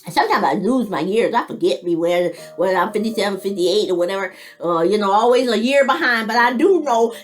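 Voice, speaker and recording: A woman talks at a very fast pace with lively intonation, with noticeable background noise behind her. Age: 50s. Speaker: military veteran and vlogger. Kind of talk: casual monologue vlog. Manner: halting.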